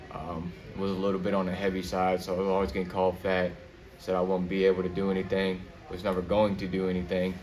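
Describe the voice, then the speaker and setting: Over light background noise, a man speaks at a fairly quick pace in a very deep, low pitch. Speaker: young boxer. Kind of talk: casual interview. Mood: reflective, personal story. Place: gym.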